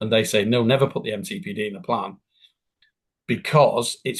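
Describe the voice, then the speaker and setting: Here a man speaks at a medium pitch with ordinary pitch variation. His voice is somewhat breathy. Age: 60s. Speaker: business continuity consultant and tutor. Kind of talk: interview.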